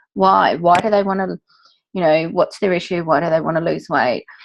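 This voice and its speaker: She is a woman with an ordinary speaking voice. Her pitch is fairly low and its variation ordinary. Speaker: fitness industry worker. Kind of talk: casual meeting recap.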